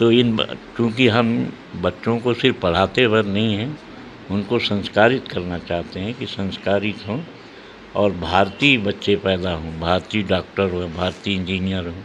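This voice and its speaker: A man's fairly low pitch with ordinary pitch variation amid noticeable background noise. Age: 80s+. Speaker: event organiser and educational institution head. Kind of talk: news interview. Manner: halting.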